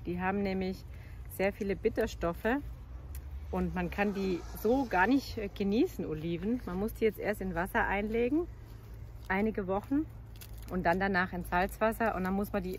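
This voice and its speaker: A woman at a moderate pace with long, frequent pauses, in a dry sound with no echo and light background noise. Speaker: travel vlogger. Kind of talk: casual vlog chat. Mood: cheerful, relaxed. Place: waterside. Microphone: phone near.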